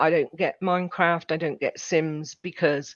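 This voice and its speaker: An unremarkable speaking voice goes at a fairly slow pace, with a quiet background and a dry, close sound with no echo. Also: woman. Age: 60s. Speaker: gamer and podcaster. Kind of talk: casual chat.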